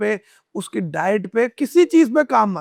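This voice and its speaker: A man's high voice moves with lively intonation, recorded dry and close with no echo. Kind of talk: casual cricket podcast banter. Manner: casual, conversational.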